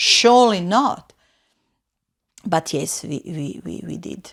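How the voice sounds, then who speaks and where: On a very clean recording with a silent background, a woman with a non-native accent speaks very slowly in a medium pitch with lively intonation. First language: not English. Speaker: florist and floristry teacher. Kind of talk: interview. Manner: loud; halting.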